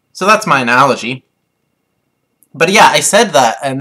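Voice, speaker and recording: A man's fairly high voice in a Canadian accent, bright and sharp in tone, with lively intonation. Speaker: vlogger. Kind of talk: casual rant to camera. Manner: hesitant, many fillers.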